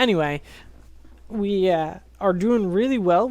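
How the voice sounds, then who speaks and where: Very slow speech from a woman with a fairly low voice and ordinary pitch variation comes through on a very clean recording with a silent background. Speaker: gaming let's play host. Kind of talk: gameplay commentary tutorial. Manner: casual, many fillers and hesitations.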